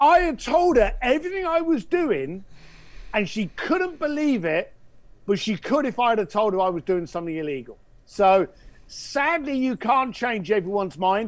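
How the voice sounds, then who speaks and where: With an English accent, a man talks at a high pitch and a moderate pace. His pitch swings very widely, and the recording is very clean with a silent background. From England. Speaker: entrepreneur and speaker. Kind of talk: interview. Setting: podcast.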